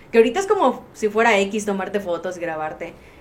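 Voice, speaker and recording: Audible room echo surrounds a woman who speaks at a fairly quick pace. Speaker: social media influencer. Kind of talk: casual chat.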